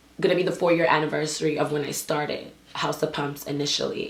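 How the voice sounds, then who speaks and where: A woman's animated tone at a moderate pace, with ordinary pitch variation and audible room echo. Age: 20s. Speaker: dance instructor and business owner. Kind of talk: vlog monologue. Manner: casual, animated.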